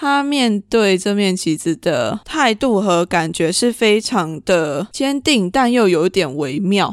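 On a very clean recording with a silent background, a woman talks at a very slow pace with hardly any pauses, very even loudness and very wide pitch swings. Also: medium pitch for a woman. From Taiwan. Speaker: podcast host. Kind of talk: solo podcast monologue.

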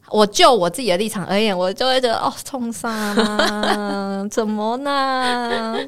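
Over noticeable background noise, a woman speaks at a very slow pace with hardly any pauses, a fairly high pitch, and ordinary pitch variation. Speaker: podcast host. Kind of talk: casual chat.

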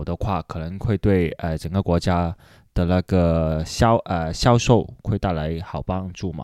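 A man speaks at a fairly slow pace. The recording is very clean with a silent background, and the sound is dry and close with no echo. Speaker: guest host interviewer. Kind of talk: casual interview chat. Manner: halting with many fillers.

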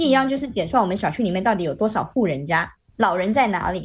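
The delivery is very fast, with lively intonation and a somewhat breathy quality. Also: woman. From Malaysia. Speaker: Malaysian expat living in Shanghai. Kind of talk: casual interview chat. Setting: video call.

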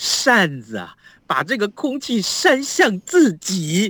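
A high-pitched man uses a raised, projected voice with an animated, bright, sharp tone and very wide pitch swings, recorded dry and close with no echo. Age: 50s. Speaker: radio news host. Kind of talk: casual chat. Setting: remote link from home.

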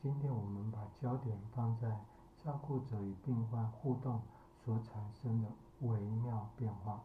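Very slow speech from a man at medium pitch, fairly even intonation, audible room echo. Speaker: psychologist and podcast host. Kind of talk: solo podcast commentary.

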